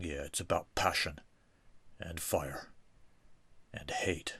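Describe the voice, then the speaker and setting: A man puts on a cartoonish character voice, raspy and very deep in pitch. He speaks at a fairly slow pace. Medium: puppet show.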